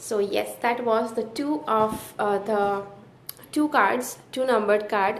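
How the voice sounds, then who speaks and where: A fairly high-pitched woman's voice at a very slow pace, with audible room echo. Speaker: tarot teacher. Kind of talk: tutorial. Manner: halting, many fillers.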